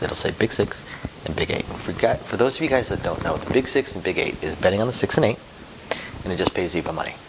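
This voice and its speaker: A soft-spoken man talks at a very fast pace. There is noticeable background noise. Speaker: casino dealer and craps channel host. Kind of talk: casual tutorial vlog. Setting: at home, son sleeping upstairs. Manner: soft-spoken, keeping voice low.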